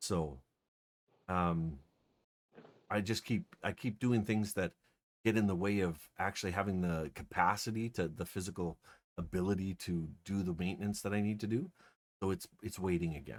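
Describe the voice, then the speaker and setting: Quiet, mumbling speech at a moderate pace has ordinary pitch variation and long, frequent pauses in a very clean recording with a silent background. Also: man, very deep, low pitch for a man. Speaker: streamer. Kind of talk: casual chat. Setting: live stream.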